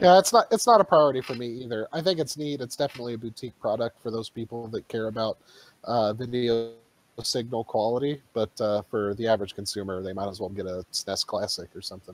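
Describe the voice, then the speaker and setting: A man at a very fast pace, with big swings in loudness, ordinary pitch variation and a dry sound with no echo. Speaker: podcast co-host. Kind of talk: casual chat. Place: home room.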